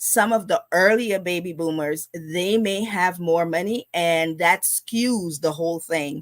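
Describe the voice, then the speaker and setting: A woman with a Guyanese accent speaks at a fairly low pitch with ordinary variation. The recording is very clean, with a silent background. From Guyana. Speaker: financial educator, live stream host. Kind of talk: live stream finance talk. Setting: live stream. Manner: casual, conversational with fillers.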